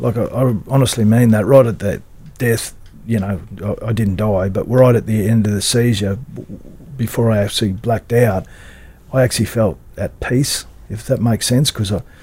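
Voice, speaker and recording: With an Australian accent, a man speaks with fairly even intonation. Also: medium pitch for a man, moderate pace. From Queensland, Australia. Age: 50s. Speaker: rugby league club CEO, former player. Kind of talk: interview. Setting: studio. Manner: halting.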